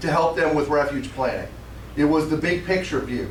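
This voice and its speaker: With audible room echo and noticeable background noise, a man with a fairly high pitch talks at a fairly quick pace. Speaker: conservation scientist. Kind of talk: conference talk.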